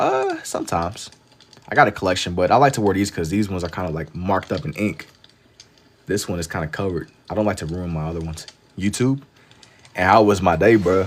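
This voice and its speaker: A man with an American accent talks at a very fast pace in a very deep, low pitch with ordinary pitch variation. Long, frequent pauses break up his speech. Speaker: live-streaming artist. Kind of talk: casual livestream chat while drawing. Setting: TikTok live stream.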